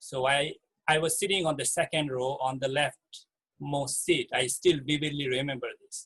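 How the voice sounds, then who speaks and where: A man with a Bangladeshi accent talks at a fairly slow pace with a fairly high pitch. His pitch varies in an ordinary way, and the sound is dry and close with no echo. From Chittagong Hill Tracts, Bangladesh. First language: Marma. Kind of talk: talk sharing personal story. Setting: video call. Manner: hesitant, with fillers.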